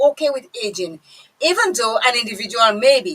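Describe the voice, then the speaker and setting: A woman's raised, projected voice moves at a moderate pace with lively intonation. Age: 50s. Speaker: radio host. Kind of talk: casual chat.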